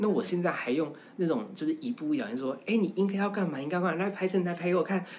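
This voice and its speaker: A man speaks very fast in a high voice with a Taiwanese accent, his tone animated and his intonation lively. Noticeable noise fills the background. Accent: Taiwanese Mandarin. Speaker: university lecturer and fashion stylist. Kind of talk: casual chat.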